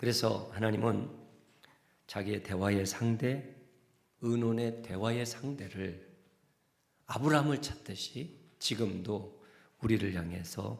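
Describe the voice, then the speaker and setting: The somewhat breathy voice moves at a fairly slow pace with long, frequent pauses. Room echo is audible. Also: man. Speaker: senior pastor. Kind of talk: sermon. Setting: church.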